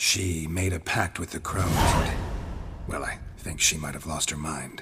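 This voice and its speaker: A man in a put-on character voice speaks with a very deep, low pitch, a deadpan tone and fairly even intonation, with clear background noise. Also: moderate pace. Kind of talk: video game voice acting. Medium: video game. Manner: terse, deadpan.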